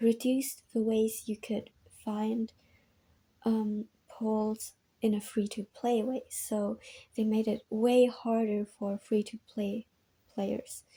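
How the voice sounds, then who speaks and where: Speaking very slowly with a non-native accent, a woman leaves long, frequent pauses. Her fairly high voice has a dark, mellow tone and is somewhat breathy. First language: not English. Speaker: gaming video essayist. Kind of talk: video essay commentary from notes. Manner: casual, many filler ums.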